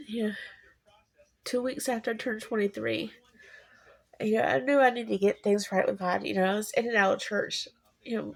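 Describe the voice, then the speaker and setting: A moderate pace broken by long, frequent pauses. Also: woman. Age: 40s. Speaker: vlogger. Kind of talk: casual personal monologue.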